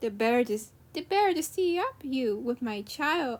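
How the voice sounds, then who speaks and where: A woman puts on a character voice. She pitches it high. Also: moderate pace. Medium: read story.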